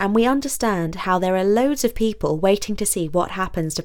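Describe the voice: The speaker does plain reading aloud. The intonation rises and falls in a lively way.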